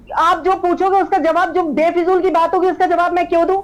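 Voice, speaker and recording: A woman speaks at an extremely high pitch. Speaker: political party spokesperson. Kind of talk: heated debate. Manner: loud.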